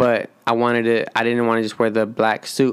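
Mumbling, a man speaks at medium pitch. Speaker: podcast host. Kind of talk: casual chat.

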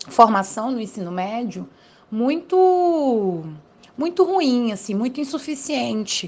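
A woman is speaking. Her pitch is high. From Brazil, Federal District. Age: 20s. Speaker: political scientist. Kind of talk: interview. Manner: hesitant with fillers.

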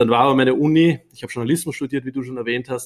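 A man with an Austrian accent talks at a very fast pace, his intonation fairly even. The recording is very clean and the background silent. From Upper Austria. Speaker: startup founder. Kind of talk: interview. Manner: hesitant with many fillers.

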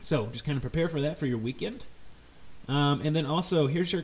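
A man with a fairly high pitch and a somewhat breathy voice. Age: 30s. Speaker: podcast host. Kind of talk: casual solo podcast monologue.

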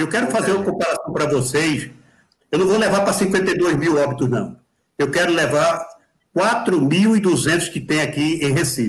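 The voice has ordinary pitch variation and very even loudness, with audible room echo. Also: man, high pitch for a man, fairly slow pace. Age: 60s. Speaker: amateur marathon runner. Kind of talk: live video chat. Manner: animated.

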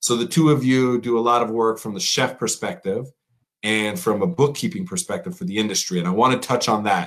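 Lively intonation in a man's mid-pitched voice. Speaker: chef and podcast host. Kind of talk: casual chat. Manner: animated.

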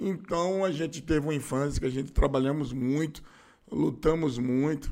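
With vocal fry and lively intonation, a man speaks at a fairly high pitch. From Bahia, Brazil (Feira de Santana). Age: 50s. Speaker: radio host and city councillor. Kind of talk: interview. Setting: studio.

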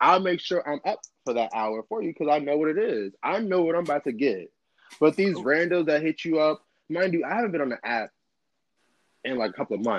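A man's voice, fairly high in pitch, with lively intonation. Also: fairly quick pace, dry, close sound with no echo. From Chicago South Side. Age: 30s. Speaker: podcast guest. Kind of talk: casual chat. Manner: animated.

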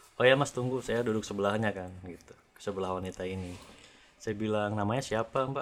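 Speaking at a fairly quick pace, a man with a fairly low pitch shows big swings in loudness. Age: 30s. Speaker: podcast guest sharing personal story. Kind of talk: casual storytelling chat. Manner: animated.

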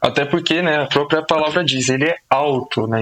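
Noticeable background noise runs under a voice moving at a fairly quick pace with ordinary pitch variation. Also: man. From Brazil, São Paulo (Zona Norte, Brasilândia). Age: 20s. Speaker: social sciences student and YouTuber. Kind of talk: casual podcast conversation.

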